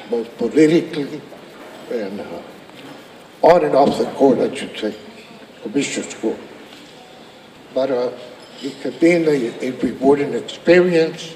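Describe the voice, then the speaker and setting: An American accent with lively intonation, big swings in loudness and long, frequent pauses at a fairly slow pace over noticeable background noise. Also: man, fairly high pitch for a man. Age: 70s. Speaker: county commissioner. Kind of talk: public speech. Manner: halting.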